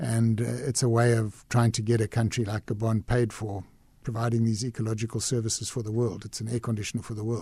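A man talks at a very fast pace in a monotone, flat intonation, his pitch medium. His tone is dark, mellow and somewhat breathy, on a very clean recording with a silent background. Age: 60s. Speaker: conservation businessman. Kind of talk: radio interview. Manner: hesitant, repeats words.

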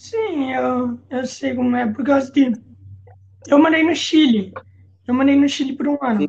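Her high pitch, ordinary pitch variation and fairly slow pace come with long, frequent pauses as this woman talks. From São Paulo state interior, Brazil. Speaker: podcast host. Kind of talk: casual interview.

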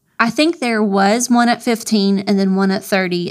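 A woman's normal speaking voice, medium in pitch, with an American accent, fairly even intonation and a moderate pace. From Florida. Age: 40s. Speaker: triathlete. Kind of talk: interview.

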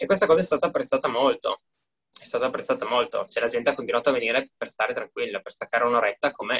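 The recording is dry and close, without any echo. The voice belongs to a man. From Friuli, northeast Italy. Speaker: gym owner and entrepreneur. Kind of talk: interview.

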